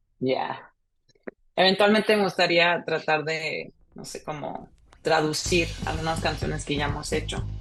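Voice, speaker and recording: A woman's voice broken by long, frequent pauses, with music in the background. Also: moderate pace, big swings in loudness. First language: Spanish. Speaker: singer and musician. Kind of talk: casual interview chat. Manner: code-switching Spanish and English.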